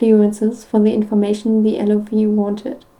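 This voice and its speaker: A woman's dark, mellow voice, fairly high in pitch, at a moderate pace with a non-native accent. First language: not English. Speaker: podfic reader. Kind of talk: reading aloud. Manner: halting, with stumbles and restarts.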